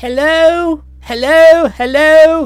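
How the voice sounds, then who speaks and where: This put-on character voice is high-pitched and loud. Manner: booming, hearty.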